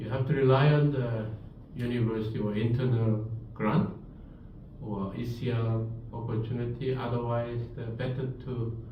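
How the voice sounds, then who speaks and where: Heard with audible room echo and noticeable background noise, a man with a Korean accent speaks at a medium pitch with fairly even intonation. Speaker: professor. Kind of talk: lecture.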